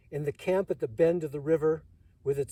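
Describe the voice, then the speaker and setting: A man speaks with a fairly high pitch and a dark, mellow, somewhat breathy tone. His pitch variation is ordinary. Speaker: Vietnam War veteran. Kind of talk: poetry reading.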